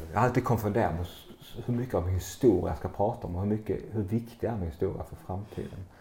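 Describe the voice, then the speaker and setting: A man with a fairly low pitch and a dark, mellow tone talks at a very fast pace, somewhat breathy, with ordinary pitch variation. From southern Sweden, Skåne (Bjärred near Lund). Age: 50s. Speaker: entrepreneur and retreat center owner. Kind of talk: interview conversation. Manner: hesitant, with fillers.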